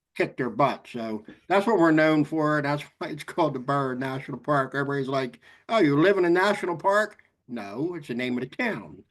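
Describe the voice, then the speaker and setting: A fairly quick pace and lively intonation in an American accent, over a quiet background. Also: man, fairly high pitch for a man. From South Jersey, US. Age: 60s. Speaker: emergency management official. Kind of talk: class discussion.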